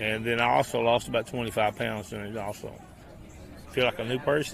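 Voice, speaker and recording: The voice belongs to a man with a medium pitch. He talks at a moderate pace, with ordinary pitch variation. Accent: Appalachian. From eastern Kentucky, Appalachia. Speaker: walking program organizer. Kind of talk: radio interview. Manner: casual.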